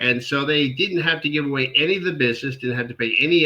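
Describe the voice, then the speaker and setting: Using an American accent, a man talks at a very fast pace with a bright, sharp tone, medium pitch and ordinary pitch variation. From US Northeast, New York and Philadelphia. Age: 60s. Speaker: venture capital accelerator founder. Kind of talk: podcast interview. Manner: repeats words, occasional stammer.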